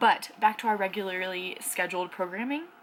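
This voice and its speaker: A woman talks at a medium pitch and a moderate pace, her pitch varying in an ordinary way, with noticeable background noise behind her. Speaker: book vlogger. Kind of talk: casual vlog. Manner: loud; animated.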